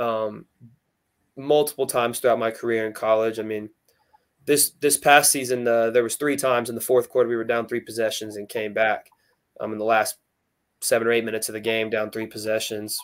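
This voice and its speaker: An American accent marks this man's voice, pitched at a medium level and moving at a fairly quick pace. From Texas, Flower Mound. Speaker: college quarterback. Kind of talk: interview. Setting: live stream interview. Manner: loud; energetic.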